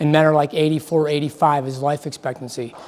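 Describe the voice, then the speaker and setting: Here is a man with a Midwestern US accent and a fairly high pitch. He talks at a fairly quick pace with ordinary pitch variation. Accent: US Midwest. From US Midwest, Akron, Ohio. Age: 60s. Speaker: mortgage loan presenter. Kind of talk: seminar presentation. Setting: seminar room with audience. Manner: halting, with repeats and fillers.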